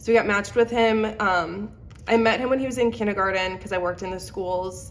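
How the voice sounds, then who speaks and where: Amid audible room echo and noticeable background noise, a woman at medium pitch speaks at a fairly quick pace with ordinary pitch variation. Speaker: budgeting vlogger. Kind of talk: casual chat. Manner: casual, filler-heavy.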